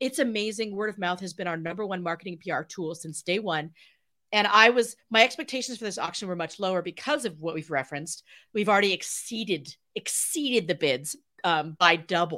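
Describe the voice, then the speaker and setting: A woman's animated, bright and sharp voice, lively in intonation and fairly quick in pace, in a very clean recording with a silent background. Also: medium pitch for a woman. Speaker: charity founder. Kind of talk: casual chat. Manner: fast.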